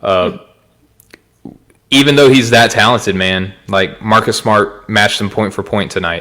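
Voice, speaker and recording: A man's bright, sharp, fairly low voice at a moderate pace, with ordinary pitch variation and long, frequent pauses. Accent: Arkansas. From Arkansas. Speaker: podcast co-host. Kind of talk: casual sports chat.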